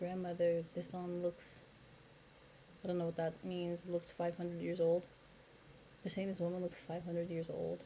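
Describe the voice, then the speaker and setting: This woman has a dark, mellow tone, somewhat breathy, with monotone, flat intonation. She leaves long, frequent pauses. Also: fairly low pitch for a woman. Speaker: YouTube commentator. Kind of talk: reaction commentary. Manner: slow.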